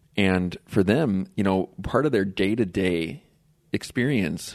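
Against a quiet background, a man talks at a fairly slow pace, his fairly low pitch showing ordinary variation. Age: 40s. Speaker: podcast host. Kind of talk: casual interview. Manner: halting, many fillers and repeats.

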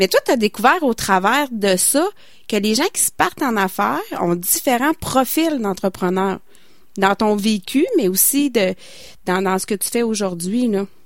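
In a Quebec accent, a woman speaks at a fairly slow pace with a fairly high pitch and lively intonation. The recording is very clean, with a silent background. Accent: Québécois French. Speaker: community radio co-host. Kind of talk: radio interview.

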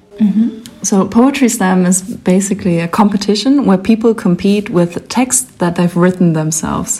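Over noticeable background noise, a woman speaks at a moderate pace and medium pitch with ordinary pitch variation. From northern Germany. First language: German. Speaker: slam poet. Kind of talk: interview. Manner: giggly, hesitant.

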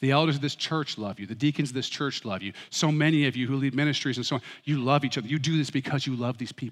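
This man's voice sits fairly high in pitch and runs with hardly any pauses. The recording is very clean, with a silent background. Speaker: pastor. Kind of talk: sermon. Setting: church. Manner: fast; loud.

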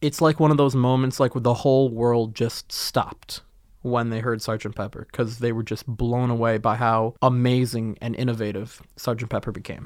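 Against a silent background in a very clean recording, a man of medium pitch speaks at a moderate pace with fairly even intonation and hardly any pauses. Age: 20s. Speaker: student podcast host. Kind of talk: casual chat. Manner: frequent fillers and hesitations.

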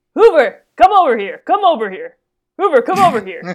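Put on as a character voice, the speech sits at an extremely high pitch and swings very widely in pitch. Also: fairly quick pace. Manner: catcalling, loud.

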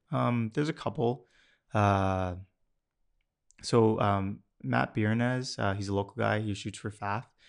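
Speaking with a Canadian accent and a fairly low pitch, a man uses lively intonation and long, frequent pauses against a quiet background. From Ontario, Canada (Mississauga). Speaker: automotive photographer and car blog founder. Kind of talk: casual interview chat. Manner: calm.

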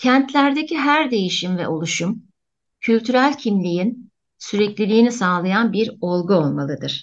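Very wide pitch swings in a fairly high-pitched female voice. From Antakya, Turkey. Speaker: architecture professor. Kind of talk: radio interview, prepared talk.

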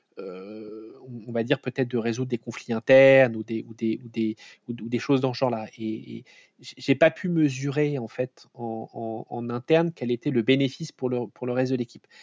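Quiet in the background, the recording is dry and close with no echo. A man talks at a moderate pace and medium pitch with fairly even intonation. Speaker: startup CEO and founder, former autonomous vehicle researcher. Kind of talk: interview. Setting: remote recording from home. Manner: halting, many repetitions and hesitations.

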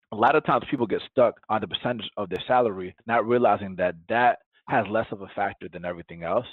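At a very fast pace, a man with a fairly low pitch speaks with a Spanish accent. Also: ordinary pitch variation. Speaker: tech startup founder. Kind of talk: podcast interview.

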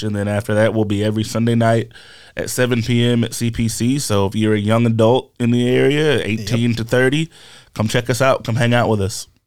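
A man speaks in a plain, everyday voice at a medium pitch, with fairly even intonation and a moderate pace, on a very clean recording with a silent background. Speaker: pastor. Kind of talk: casual chat.

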